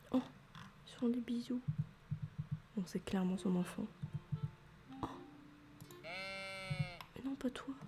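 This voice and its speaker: A soft-spoken woman at a medium pitch talks at a very slow pace in a relaxed tone, with ordinary pitch variation and long, frequent pauses. Music plays in the background. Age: 20s. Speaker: ASMR creator. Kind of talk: ASMR gaming commentary. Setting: home microphone setup. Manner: soft-spoken, relaxed.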